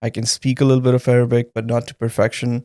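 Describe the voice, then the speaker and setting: In a Punjabi accent, the voice has a dark, mellow tone with a dry, close sound and no echo. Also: man. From Pakistan. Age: 30s. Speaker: engineer, podcast guest. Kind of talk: interview testimony. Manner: hesitant, many fillers.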